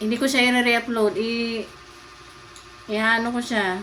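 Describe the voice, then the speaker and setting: Amid noticeable background noise, a woman speaks at a fairly high pitch in a flat, monotone way. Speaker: lifestyle vlogger. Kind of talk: casual vlog talk.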